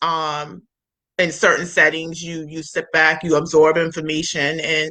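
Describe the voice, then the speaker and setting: Loud and monotone, a woman with a very deep, low pitch speaks at a moderate pace with flat intonation. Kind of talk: casual interview chat. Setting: livestream video.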